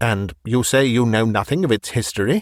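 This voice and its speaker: A man's growling, put-on character voice at medium pitch and moderate pace, with ordinary pitch variation, dry and close with no echo. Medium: read story.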